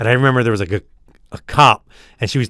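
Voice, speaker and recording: Using ordinary pitch variation, a man of medium pitch talks with an American accent. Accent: Philadelphia, toned down but still noticeable. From South Philadelphia. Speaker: podcast co-host. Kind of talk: casual chat.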